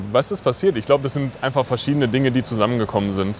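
Noticeable background noise surrounds a man speaking at a fairly quick pace and medium pitch. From Sauerland, western Germany. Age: 20s. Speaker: former football goalkeeper, nonprofit founder. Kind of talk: interview. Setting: outdoors at a football stadium.

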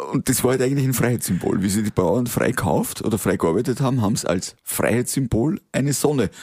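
A man speaks in a Lower Austrian accent at a very fast pace. His tone is animated and his intonation lively. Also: hardly any pauses. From Austria, Waldviertel (Lower Austria). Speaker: company founder. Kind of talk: interview. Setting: cabin on location.

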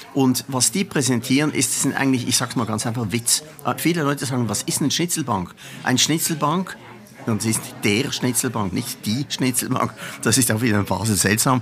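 A man speaks at a moderate pace in a medium pitch with ordinary pitch variation. Noticeable background noise sits behind him. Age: old. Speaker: carnival veteran, former committee chairman. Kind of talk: interview. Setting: café. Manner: animated.

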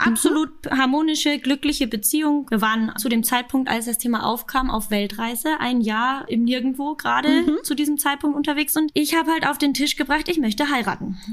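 A woman's high voice with a Bavarian accent, fairly quick with hardly any pauses, very even in loudness, ordinary pitch variation, and noticeable background noise. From Munich, Bavaria. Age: 30s. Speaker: podcast guest in an open marriage. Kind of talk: casual interview.

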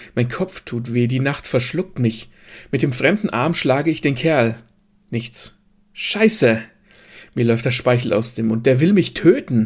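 A man of medium pitch speaks fairly slowly, somewhat breathy, with lively intonation and long, frequent pauses. The recording is very clean with a silent background. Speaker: narrator reading a short story. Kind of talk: dramatic first-person story narration, read aloud. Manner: vividly expressive, sardonic and breathless in the fight scenes.

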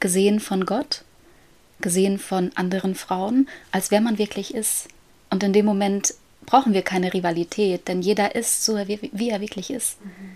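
A woman talks at a moderate pace with a plain, everyday voice. Her pitch is medium and her intonation fairly even. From Germany, near Paderborn. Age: 20s. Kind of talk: casual faith conversation. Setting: home, child's bedroom.

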